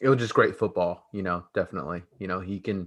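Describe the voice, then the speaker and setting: Against a quiet background, a man speaks at a fairly quick pace in a plain, everyday voice. His pitch is fairly low and his intonation fairly even. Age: 30s. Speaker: podcast host, former football player. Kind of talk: casual chat.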